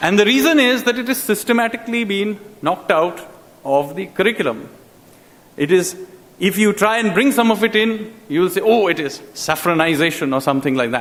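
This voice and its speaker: A man with a Bengali accent, high pitch and very wide pitch swings, at a fairly quick pace. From India, Calcutta. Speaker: public speaker on education. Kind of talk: public talk.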